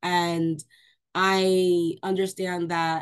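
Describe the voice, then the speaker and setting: Against a quiet background, a woman speaks with an American accent. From New York. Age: 20s. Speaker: Army veteran. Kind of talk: panel discussion. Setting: video call. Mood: frustrated, recounting army experience. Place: home room. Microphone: video call.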